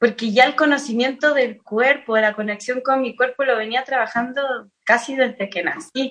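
At a moderate pace and with hardly any pauses, a woman speaks in a high voice with fairly even intonation. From Chile. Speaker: singer-songwriter. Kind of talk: casual chat.

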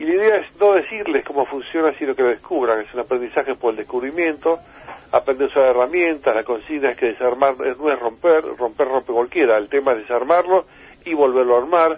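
A plain, everyday voice from a man, fairly high in pitch, with ordinary pitch variation and a fairly quick pace. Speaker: inventor. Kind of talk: interview.

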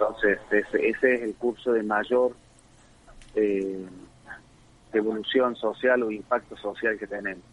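A man talks at a fairly slow pace in a monotone, flat intonation, leaving long, frequent pauses. Noticeable background noise runs underneath. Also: medium pitch for a man. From Argentina, Córdoba province (Río Cuarto). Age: 50s. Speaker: tech company founder. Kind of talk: interview.

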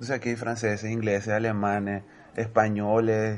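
At a moderate pace, a man with a medium pitch speaks in an unremarkable speaking voice. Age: 30s. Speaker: Venezuelan emigrant. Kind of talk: casual chat.

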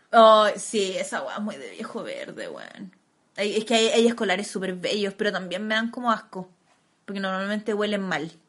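A moderate pace in a Chilean accent, with fairly even intonation and big swings in loudness. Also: woman, medium pitch for a woman. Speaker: podcast co-host. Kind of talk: casual chat.

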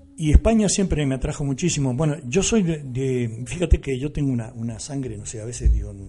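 A man of medium pitch talks with ordinary pitch variation at a moderate pace. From Argentina, La Pampa. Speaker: musician. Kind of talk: radio interview. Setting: radio studio. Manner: halting.

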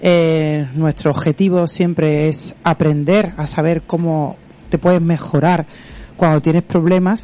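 A woman's unremarkable speaking voice, fairly low in pitch, at a fairly slow pace with fairly even intonation. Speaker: radio host, physiotherapist. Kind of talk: radio interview.

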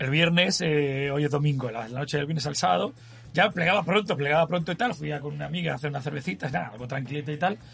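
A man speaks at a very fast pace with lively intonation. His voice is fairly high-pitched and has vocal fry. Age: 40s. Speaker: podcast co-host. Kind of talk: casual chat. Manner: animated.

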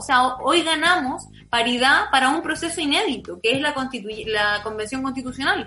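A woman with a Chilean accent speaks at a moderate pace in a raised, projected voice, her pitch swinging very widely. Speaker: political scientist. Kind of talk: interview.

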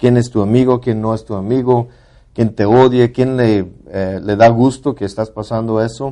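A man's dark, mellow voice at medium pitch, with fairly even intonation and a fairly slow pace. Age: 40s. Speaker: podcast co-host. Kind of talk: casual chat.

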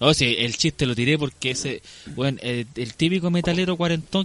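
Lively intonation at a fairly quick pace. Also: man. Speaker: podcast co-host. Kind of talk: casual chat.

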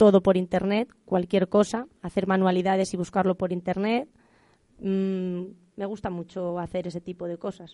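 A woman speaks in a dark, mellow tone with flat, monotone intonation. The sound is dry and close, with no echo. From Spain, Salamanca province. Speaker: secondary school teacher. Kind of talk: interview.

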